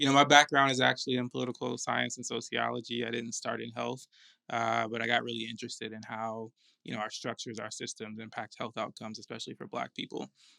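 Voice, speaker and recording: A man with an American accent talks at a very fast pace, his loudness swinging widely, in a very clean recording with a silent background and a dry, close sound free of echo. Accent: slight Atlanta accent, stronger around locals. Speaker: podcast co-host, health nonprofit co-founder. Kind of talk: casual chat.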